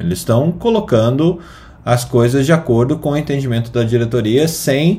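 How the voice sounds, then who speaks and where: At a moderate pace, a man with a medium pitch and lively intonation sounds somewhat breathy. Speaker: medical news podcast host. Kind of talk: casual chat.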